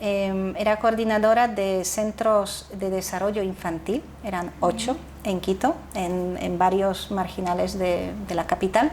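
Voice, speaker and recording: Speaking at a fairly slow pace, a woman with a Polish accent uses a medium pitch and ordinary pitch variation. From Poland, then Netherlands. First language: Polish (speaking Spanish). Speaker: founder of a youth nonprofit. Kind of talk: interview conversation. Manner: halting, with self-corrections.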